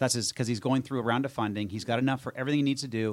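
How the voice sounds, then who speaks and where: A man is talking. The recording is very clean, with a silent background. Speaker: radio show host. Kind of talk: interview. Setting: studio. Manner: fast; animated.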